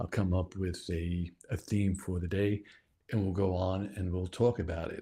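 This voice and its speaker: On a very clean recording with a silent background, a man speaks at a moderate pace in a very deep, low pitch, somewhat breathy, with a dark, mellow tone and monotone, flat intonation. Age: 60s. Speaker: video producer and podcaster. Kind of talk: casual video introduction. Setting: home studio. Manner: casual, halting.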